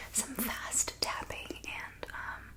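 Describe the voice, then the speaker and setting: A soft-spoken woman whispers against noticeable background noise. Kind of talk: ASMR talk to camera, soft-spoken and whispered reading. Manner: soft-spoken, whispery.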